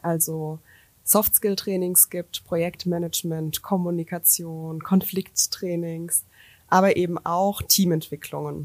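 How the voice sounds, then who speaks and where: Very slow and monotone, with flat intonation, the voice comes through a very clean recording with a silent background and a dry, close sound with no echo. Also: woman, fairly low pitch for a woman. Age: 30s. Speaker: business coach and startup founder. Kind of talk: interview. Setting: studio in Karlsruhe.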